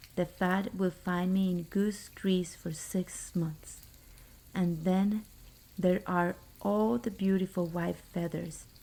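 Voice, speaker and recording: Soft-spoken and somewhat breathy, the voice moves at a very slow pace with ordinary pitch variation. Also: woman. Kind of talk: bedtime story reading.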